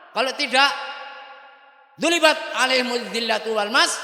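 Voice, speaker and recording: Noticeable background noise and audible room echo around speech at a moderate pace. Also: man. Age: 70s. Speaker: Islamic cleric. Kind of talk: religious address to students and parents.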